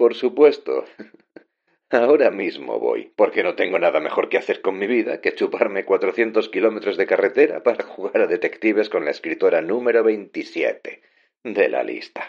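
A man puts on a character voice in falsetto, with an extremely high pitch. He speaks at a moderate pace. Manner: sarcastic, mocking.

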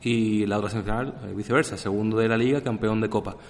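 A man with a plain, everyday voice talks fairly quickly, his medium pitch carrying fairly even intonation. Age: 30s. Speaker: football podcast host. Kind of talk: casual chat.

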